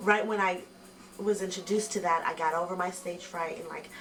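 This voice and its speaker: A woman speaks at medium pitch with fairly even intonation. Audible room echo and noticeable background noise are present. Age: 30s. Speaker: rapper. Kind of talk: interview.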